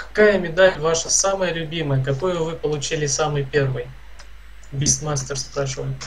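A man speaks at a moderate pace with a fairly high pitch and fairly even intonation. Noticeable background noise runs underneath. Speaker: gaming streamer. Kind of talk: casual gameplay chat.

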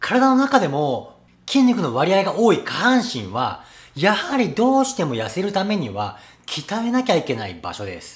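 A man's loudness swings widely as he talks at a moderate pace. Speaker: personal trainer. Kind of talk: fitness tutorial intro. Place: gym. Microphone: phone near.

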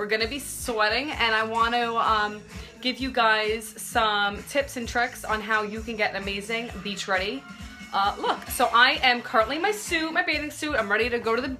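Clear music plays in the background as a woman talks at a moderate pace with ordinary pitch variation. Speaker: makeup live streamer. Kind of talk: casual tutorial chat. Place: home room. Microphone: phone near.

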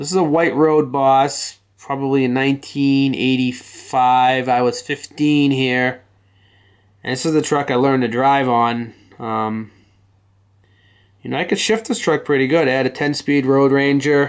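Fairly slow, fairly evenly intoned speech from a man over a quiet background. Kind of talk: casual narration of photos. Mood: fond, nostalgic. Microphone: phone near.

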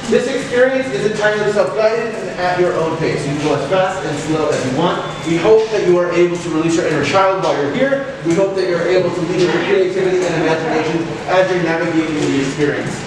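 A man's high-pitched voice at a very fast pace, with strong room echo and noticeable background noise. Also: ordinary pitch variation, hardly any pauses. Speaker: museum guide. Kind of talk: welcome address to visitors. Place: hall. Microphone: camera far.

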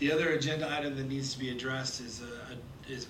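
A man talks at a fairly quick pace with monotone, flat intonation. Noticeable background noise sits behind him. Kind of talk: chairing a public meeting. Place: meeting room. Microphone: podium.

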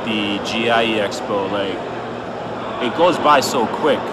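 A man is heard over loud background noise. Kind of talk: casual vlog chat. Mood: relaxed, joking. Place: hall. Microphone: phone near.

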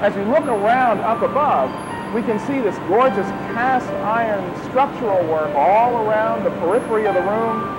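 Music plays in the background as a man talks. His pace is moderate and his pitch variation ordinary. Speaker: TV program host. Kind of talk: documentary tour commentary. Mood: admiring, enthusiastic. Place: factory. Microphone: lapel.

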